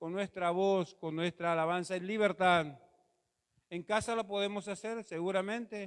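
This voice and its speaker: Speaking at a fairly slow pace, a man uses a high pitch and fairly even intonation. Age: 60s. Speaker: pastor. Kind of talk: sermon. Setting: church auditorium.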